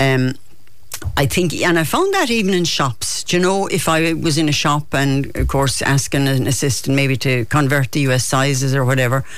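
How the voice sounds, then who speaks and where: A Kerry accent at a moderate pace amid noticeable background noise. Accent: Kerry Irish. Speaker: poet. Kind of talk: casual chat. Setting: studio. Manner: animated.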